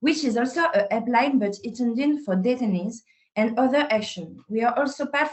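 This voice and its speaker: With a French accent, a woman speaks in a fairly high pitch, varying it in an ordinary way. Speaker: psychologist. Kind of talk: webinar presentation.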